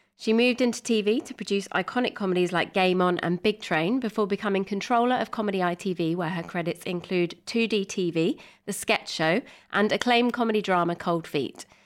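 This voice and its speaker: On a very clean recording with a silent background, a woman with a British accent speaks fairly quickly. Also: medium pitch for a woman, ordinary pitch variation. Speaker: podcast co-host. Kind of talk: casual interview with scripted reading.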